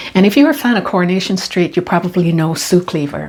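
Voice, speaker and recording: A woman speaks with lively intonation. Her pitch is medium. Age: 60s. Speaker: lifestyle vlogger. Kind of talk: monologue to camera. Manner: animated.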